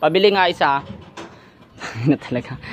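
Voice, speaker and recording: Talking at a fairly quick pace, a man comes through with a dry sound and no echo. Light background noise can be heard. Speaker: vlogger. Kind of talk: casual vlog chat, agitated. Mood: angry, aggressive, swearing. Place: street. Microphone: phone near.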